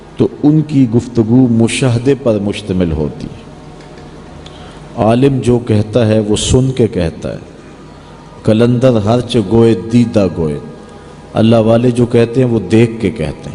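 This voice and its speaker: Music plays in the background as a man talks at a medium pitch. His pitch variation is ordinary. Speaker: Islamic preacher, religious speaker. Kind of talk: Urdu religious sermon.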